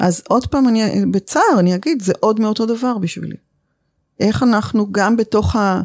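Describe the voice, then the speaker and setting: This woman has an ordinary speaking voice, fairly high in pitch with ordinary pitch variation, delivered at a moderate pace and very even loudness in a dry, close sound with no echo on a very clean recording with a silent background. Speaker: communication teacher. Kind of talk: interview conversation.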